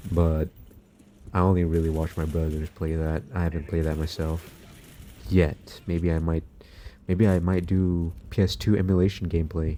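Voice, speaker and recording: The voice has a dark, mellow, relaxed tone with monotone, flat intonation. It moves at a moderate pace, broken by long, frequent pauses. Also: man, very deep, low pitch for a man. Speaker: gaming commentary youtuber. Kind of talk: casual monologue over gameplay. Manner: relaxed, low energy.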